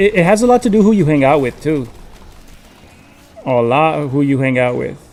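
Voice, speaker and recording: Over music in the background, a man with a fairly high pitch talks at a fairly quick pace with very wide pitch swings. He leaves long, frequent pauses. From California, Mexican family from Jalisco. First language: Spanish. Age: 30s. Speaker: gaming streamer. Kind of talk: casual live-stream chat. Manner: casual, code-switching English and Spanish.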